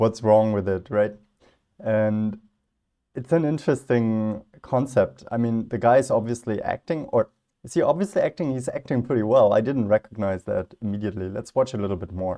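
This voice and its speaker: With a non-native accent, a man speaks at a moderate pace in a medium pitch, his dark, mellow tone carrying ordinary pitch variation. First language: not English. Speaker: philosophy youtuber. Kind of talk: reaction video commentary. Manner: casual, hesitant with fillers.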